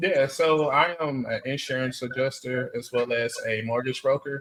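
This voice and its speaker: Here a man speaks at a fairly slow pace. He has a normal speaking voice at medium pitch. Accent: American. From Texas. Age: 30s. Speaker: dating interviewee. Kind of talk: interview.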